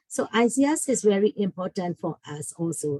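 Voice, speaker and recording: A woman speaks with a Burmese accent in a dark, mellow tone. The sound is dry and close, with no echo. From Burma. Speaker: school family engagement coordinator. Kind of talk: online workshop talk. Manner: halting.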